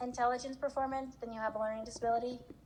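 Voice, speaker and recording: A woman talks at a very fast pace. Her voice is fairly high in pitch. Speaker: psychologist doing neuropsych testing. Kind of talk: casual chat.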